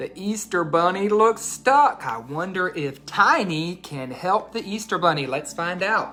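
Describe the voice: This is plain reading aloud. Nothing more stands out.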